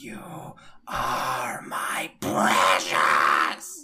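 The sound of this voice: Speaking in a put-on character voice, the man sounds raspy.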